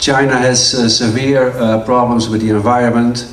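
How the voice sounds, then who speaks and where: Amid noticeable background noise and audible room echo, the speech comes at a moderate pace with monotone, flat intonation. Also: man. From Netherlands. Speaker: transport finance expert. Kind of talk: conference talk. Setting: conference hall with audience. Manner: halting, many fillers.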